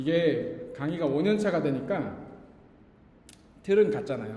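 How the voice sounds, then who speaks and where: Amid noticeable background noise and audible room echo, a man with a fairly high pitch talks with lively intonation. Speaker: pastor teaching a Bible geography class. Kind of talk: lecture.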